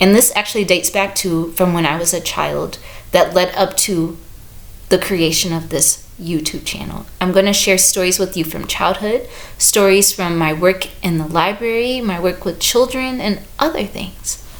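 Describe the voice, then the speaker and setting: A woman's medium-pitched voice at a moderate pace, with ordinary pitch variation and noticeable background noise. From US Midwest, St. Louis. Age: 30s. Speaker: book reviewer and visual artist. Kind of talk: casual vlog talk to camera.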